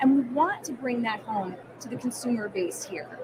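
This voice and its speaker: A woman's high voice in a New Jersey accent at a fairly quick pace, over noticeable background noise. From New Jersey, US Northeast. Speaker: food brand marketer. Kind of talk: interview at trade show.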